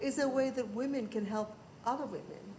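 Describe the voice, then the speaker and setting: Heard with audible room echo, a woman with a fairly high pitch talks at a fairly quick pace. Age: old. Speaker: audience member at panel event. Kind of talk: audience question at panel discussion.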